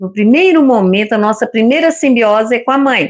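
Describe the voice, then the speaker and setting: A woman's high voice moves with lively intonation at a moderate pace. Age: 60s. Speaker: retired psychology-minded co-host. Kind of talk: casual book discussion live stream.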